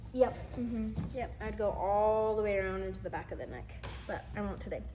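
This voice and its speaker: Over noticeable background noise and audible room echo, a woman speaks fairly quickly. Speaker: makeup instructor. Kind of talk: tutorial.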